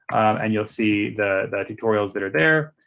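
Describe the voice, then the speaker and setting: This man has a fairly low pitch and talks at a fairly quick pace. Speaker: AI researcher, seminar speaker. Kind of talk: technical talk with live demo. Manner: fast.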